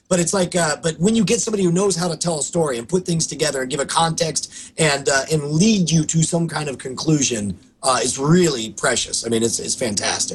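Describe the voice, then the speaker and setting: The speaker moves at a fairly quick pace with lively intonation and hardly any pauses, over noticeable background noise. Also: man, fairly high pitch for a man. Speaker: podcast co-host. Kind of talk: casual chat.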